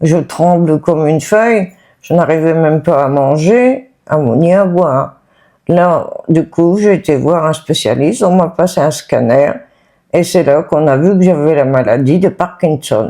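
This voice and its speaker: Against a quiet background, a woman speaks at a fairly slow pace in a fairly low, dark and mellow voice with ordinary pitch variation. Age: 60s. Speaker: person living with Parkinson's. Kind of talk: testimony. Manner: halting.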